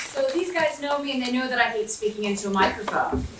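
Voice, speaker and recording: With noticeable background noise and audible room echo, a woman speaks in an animated tone at a high pitch. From US South, southwestern West Virginia. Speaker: diplomat. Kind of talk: motivational talk to audience.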